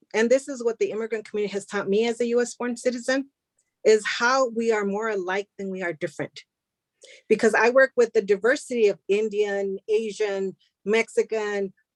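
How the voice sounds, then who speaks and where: A woman speaks at a moderate pace in a fairly high voice with ordinary pitch variation, recorded dry and close with no echo. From US, Spanish-speaking family. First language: Spanish. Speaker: immigrant community advocate. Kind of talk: panel discussion.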